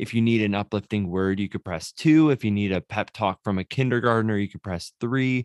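Against a quiet background, a man speaks at a fairly low pitch with ordinary pitch variation and hardly any pauses, in a dry, close sound with no echo. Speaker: pastor and podcast co-host. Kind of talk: casual chat. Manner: low energy.

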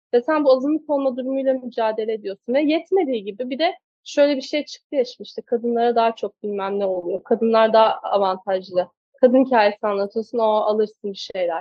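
Fairly high in pitch, a woman talks at a fairly quick pace with lively intonation. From Turkey, Kastamonu. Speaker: film director. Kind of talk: interview. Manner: hesitant, with many fillers.

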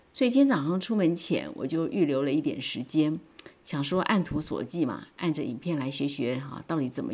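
An animated woman speaks at a moderate pace and fairly low pitch. Her pitch swings very widely. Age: 50s. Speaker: podcaster. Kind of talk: personal monologue.

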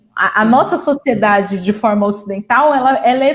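Here a woman talks at a moderate pace. Her voice sits fairly high. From interior of São Paulo state, Brazil. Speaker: journalist and communication doctoral researcher. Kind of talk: conversational panel discussion. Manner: halting, many fillers and repetitions.

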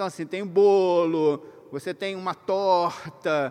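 The man's voice is high in pitch and delivered with monotone, flat intonation. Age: 50s. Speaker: workshop speaker for pastors. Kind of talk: lecture to a live audience. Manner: conversational, hesitant.

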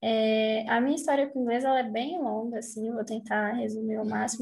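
With a normal speaking voice, a woman speaks at a fairly high pitch and with fairly even intonation. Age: 20s. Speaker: English teacher and medical student. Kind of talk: casual interview chat.

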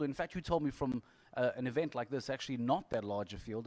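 A medium-pitched man talks at a very fast pace with ordinary pitch variation. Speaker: TV anchor and podcast host. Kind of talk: casual chat. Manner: animated.

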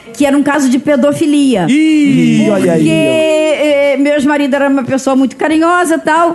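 A woman's high-pitched voice at a moderate pace, fairly even in intonation, with hardly any pauses and noticeable background noise. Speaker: guest with dwarfism. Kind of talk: casual chat.

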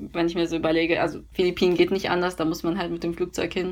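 A woman is speaking. Her pitch is fairly low. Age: 20s. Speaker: university student. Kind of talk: casual interview. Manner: filler-heavy (ähm, also).

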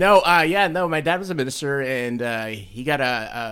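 This man has a normal speaking voice with lively intonation. He talks at a moderate pace. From Mexico, raised in US. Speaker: band booster parent. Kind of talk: casual chat.

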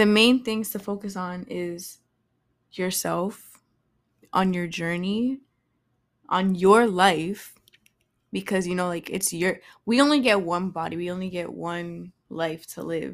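With an American accent, a woman talks at a fairly slow pace and a medium pitch with ordinary pitch variation, big swings in loudness and long, frequent pauses, in a very clean recording with a silent background. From Boston, US. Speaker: podcast host, actress. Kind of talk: casual solo monologue. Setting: recording at home with incense. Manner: casual, filler-heavy.

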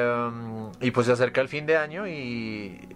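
Through noticeable background noise, a man's voice is heard at a medium pitch. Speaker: podcast co-host. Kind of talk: casual chat.

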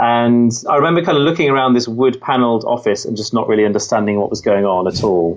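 At a very fast pace, a man with an English Midlands accent talks at a medium pitch with lively intonation. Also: hardly any pauses. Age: 30s. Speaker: author and entrepreneur. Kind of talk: interview.

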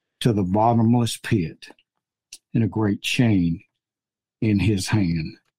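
At a fairly slow pace, a man talks in a medium pitch with a dark, mellow tone and ordinary pitch variation. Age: 70s. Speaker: podcast host, Bible teacher. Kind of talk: Bible study discussion.

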